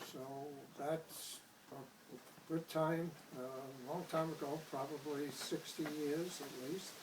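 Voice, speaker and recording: A man with a New York accent talks at a very slow pace in a fairly high pitch, with monotone, flat intonation. Noticeable background noise and audible room echo surround him. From Brooklyn, New York. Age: 70s. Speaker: painter. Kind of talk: interview. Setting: artist's studio. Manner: halting.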